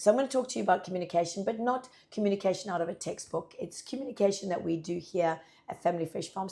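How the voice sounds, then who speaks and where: A put-on character voice from a woman, croaky, husky and raspy, medium in pitch with ordinary pitch variation, very fast with hardly any pauses. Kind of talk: conversational, presenting to an audience.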